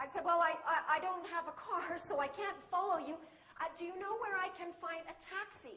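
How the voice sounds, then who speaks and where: A woman projects a raised voice with a bright, sharp tone at a moderate pace and ordinary pitch variation. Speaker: English teacher. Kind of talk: public speech to an audience.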